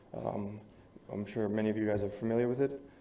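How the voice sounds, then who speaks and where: A man's medium-pitched voice with an American accent, at a very fast pace, with audible room echo. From New Jersey / New York area. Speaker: resident speaking at public comment. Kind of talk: public comment at council meeting. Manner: halting, many fillers.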